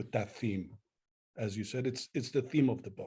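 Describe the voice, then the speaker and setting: A somewhat breathy, medium-pitched man with an Armenian accent, a dark, mellow tone and ordinary pitch variation. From Lebanon, Beirut. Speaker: poet. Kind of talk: book club interview.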